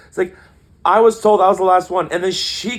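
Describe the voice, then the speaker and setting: A man talks with a high pitch. His tone is animated. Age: 20s. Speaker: podcast co-host. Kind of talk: casual chat.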